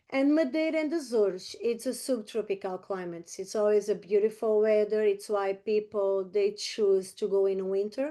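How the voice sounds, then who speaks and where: A woman with a Portuguese accent speaks at a moderate pace and medium pitch in a dark, mellow tone. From Portugal, Algarve. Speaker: real estate agent. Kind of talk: presentation. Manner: halting.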